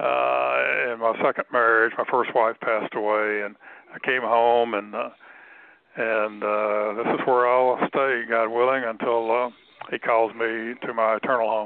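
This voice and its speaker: At a fairly slow pace, a man speaks with a Mississippi accent and monotone, flat intonation. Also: medium pitch for a man. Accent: Southern US (Mississippi). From US South, Tupelo, Mississippi. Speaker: author. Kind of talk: radio interview.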